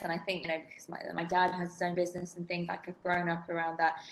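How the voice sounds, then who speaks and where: A woman speaks with a southern English accent. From England, outside London. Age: 30s. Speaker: development sector expert. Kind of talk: casual interview.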